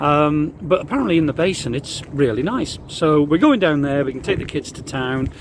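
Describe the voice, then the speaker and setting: Noticeable background noise sits behind a man whose voice sounds dry, with no echo at all. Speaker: narrowboat vlogger. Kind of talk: casual vlog chat. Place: waterside. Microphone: phone near.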